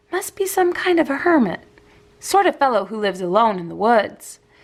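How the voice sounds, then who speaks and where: A woman puts on a character voice, pitched high and swinging very widely in pitch. She talks at a fairly quick pace. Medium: read story.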